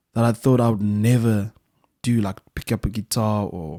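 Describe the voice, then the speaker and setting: With a Zimbabwean accent, a man speaks at a moderate pace and medium pitch in a dark, mellow tone, the sound dry and close with no echo on a very clean recording with a silent background. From South Africa (Western Cape, Swellendam), born in Zimbabwe. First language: Shona. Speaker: musician. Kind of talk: casual chat.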